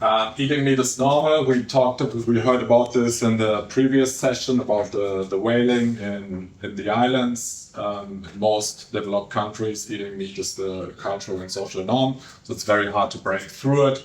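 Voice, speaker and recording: At a moderate pace and with hardly any pauses, a man speaks at a medium pitch with ordinary pitch variation. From Germany. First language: German. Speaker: behavioural scientist. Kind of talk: conference talk. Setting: stage with audience. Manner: hesitant, many fillers.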